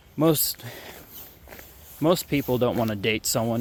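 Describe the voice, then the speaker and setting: An American accent comes through against noticeable background noise. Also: man. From Ohio, US Midwest. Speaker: vlogger. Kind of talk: casual vlog monologue. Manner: halting, self-interrupting.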